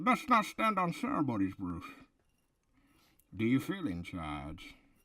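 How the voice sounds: A man puts on a character voice at a medium pitch. He talks at a fairly slow pace.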